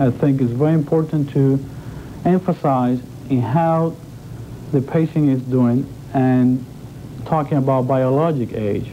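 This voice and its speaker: A man speaks at a fairly slow pace, with long, frequent pauses. His loudness stays very even and his intonation fairly even, over noticeable background noise. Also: medium pitch for a man. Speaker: transplant doctor. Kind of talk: TV news interview answer.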